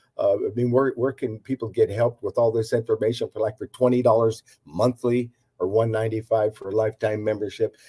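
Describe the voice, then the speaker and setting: A man with a somewhat breathy, dark and mellow tone at medium pitch, very fast pace and fairly even intonation, on a very clean recording with a silent background and a dry, close sound with no echo. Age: 80s+. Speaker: herbalist and natural health practitioner. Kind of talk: interview. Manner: halting, many fillers and repetitions.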